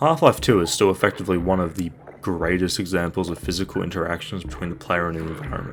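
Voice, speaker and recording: Very deep, low-pitched man at a very fast pace, fairly even intonation, noticeable background noise. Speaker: game reviewer. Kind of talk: video review narration.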